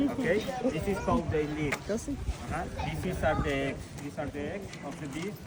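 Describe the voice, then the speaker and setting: A man with a Mexican accent speaks at a fairly high pitch with lively intonation. Noticeable background noise and audible room echo surround him. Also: moderate pace. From Mexico. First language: Spanish. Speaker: botanical garden tour guide. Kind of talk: guided tour. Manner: halting.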